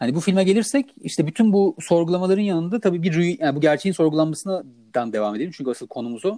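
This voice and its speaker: With a dark, mellow tone, a man speaks very fast in a high pitch with lively intonation. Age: 30s. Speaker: film podcast co-host. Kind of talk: casual chat.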